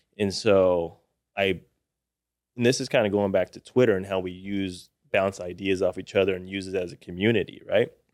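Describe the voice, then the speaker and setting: With an American accent, a man has a plain, everyday voice at a fairly low pitch. He speaks at a moderate pace with fairly even intonation. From Austin, Texas. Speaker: business advisor, former business buyer. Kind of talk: podcast interview.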